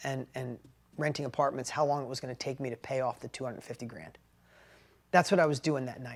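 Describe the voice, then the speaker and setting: This speaker has an animated tone and a New York accent. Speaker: business coach. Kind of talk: motivational storytelling talk.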